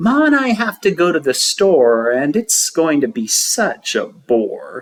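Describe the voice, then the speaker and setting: In a put-on character voice, the speaker goes at a fairly slow pace with fairly high pitch. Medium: read story. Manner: eager, lively.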